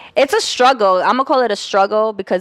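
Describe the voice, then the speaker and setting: A woman at a moderate speed with normal pitch movement and an ordinary speaking voice. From Colombia, then Canada. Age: 20s. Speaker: model and photographer. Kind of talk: casual chat.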